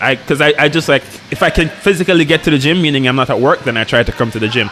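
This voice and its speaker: Background noise is noticeable in this clip. The man's pitch varies in an ordinary way. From rural Jamaica. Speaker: hospital resident doctor, jiu-jitsu practitioner. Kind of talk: casual podcast chat. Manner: halting, many self-restarts.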